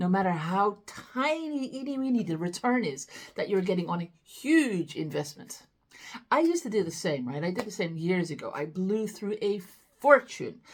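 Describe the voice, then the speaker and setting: Against a quiet background, a woman speaks at a moderate pace in a somewhat breathy, animated tone with very wide pitch swings. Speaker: business growth coach. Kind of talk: tutorial. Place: home room.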